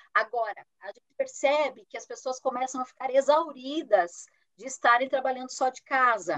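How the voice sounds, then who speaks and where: In a dry, close recording with no echo, a woman speaks at a moderate pace in a high pitch with ordinary pitch variation. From Brazil, interior of Paraná. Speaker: human resources executive. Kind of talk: interview.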